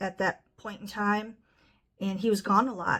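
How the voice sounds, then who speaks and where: A woman speaks at a medium pitch with a Midwestern American accent. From US Midwest, northwest Ohio. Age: 60s. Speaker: nonprofit fundraiser. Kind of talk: casual fundraising appeal to camera. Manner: conversational with fillers.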